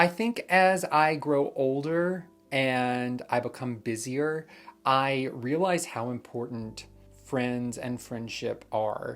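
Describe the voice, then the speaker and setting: With music in the background, a man with an American accent speaks at a very slow pace and ordinary pitch variation. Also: medium pitch for a man. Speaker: vlogger. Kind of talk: vlog monologue. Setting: at home. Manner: loud, boisterous when filming.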